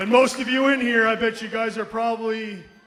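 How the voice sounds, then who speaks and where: A man talks at a moderate pace with fairly even intonation. His pitch is high, and noticeable background noise runs behind him. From Moncton, New Brunswick, Canada (Acadian). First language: French. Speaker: professional wrestler. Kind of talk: wrestling promo. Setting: ring with live audience.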